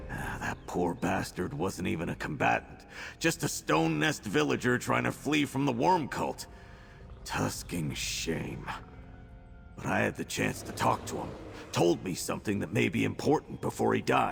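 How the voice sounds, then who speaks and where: A man puts on a character voice pitched very deep and low, speaking at a moderate pace. Music is clearly heard in the background. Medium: video game. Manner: blunt, colloquial.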